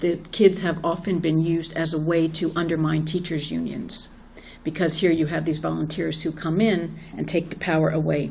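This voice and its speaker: A woman's fairly quick speech with vocal fry over light background noise. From New Orleans. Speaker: activist and organizer; panelist. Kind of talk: panel talk. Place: hall. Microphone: handheld.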